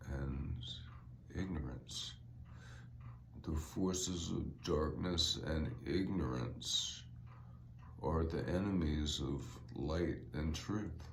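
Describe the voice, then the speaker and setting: A man with a very deep, low pitch and vocal fry speaks at a very slow pace with long, frequent pauses. His pitch varies in an ordinary way, with audible room echo. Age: 60s. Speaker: podcaster and author. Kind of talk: solo podcast monologue. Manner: casual, halting with fillers.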